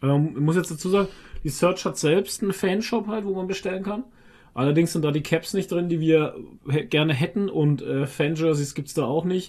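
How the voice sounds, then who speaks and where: A high-pitched male voice over a quiet background. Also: ordinary pitch variation, moderate pace. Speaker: podcast co-host. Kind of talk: casual chat.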